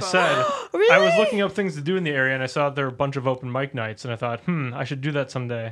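Speaking in a Wisconsin accent at a very fast pace with hardly any pauses, a man with a fairly high pitch and ordinary pitch variation is heard over noticeable background noise. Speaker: podcast co-host.

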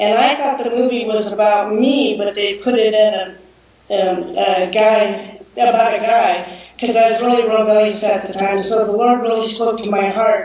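Someone with a Californian accent speaks at a moderate pace with fairly even intonation, amid noticeable background noise and audible room echo. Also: woman, fairly high pitch for a woman. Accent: Californian American English. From US, Southern California. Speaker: missionary. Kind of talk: video call interview.

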